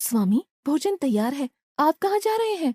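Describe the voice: In a cartoonish character voice, a female-sounding speaker talks at a high pitch for a woman with very wide pitch swings and a moderate pace.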